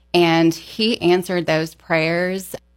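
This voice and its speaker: A woman speaks in a flat monotone at a fairly low pitch, with an American accent. The recording is very clean, with a silent background. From Texas, El Paso. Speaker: tennis coach. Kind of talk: faith testimony interview.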